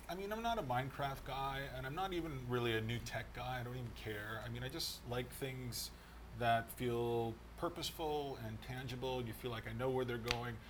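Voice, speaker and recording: Over noticeable background noise, a man speaks with an American accent. His pace is moderate. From United States. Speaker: video game podcast co-host. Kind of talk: casual chat.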